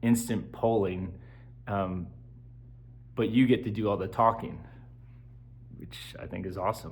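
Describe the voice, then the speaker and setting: A fairly low-pitched male voice with vocal fry, ordinary pitch variation, big swings in loudness and audible room echo. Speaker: vlogger and substitute teacher. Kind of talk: casual vlog monologue. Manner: slow; halting, many filler words.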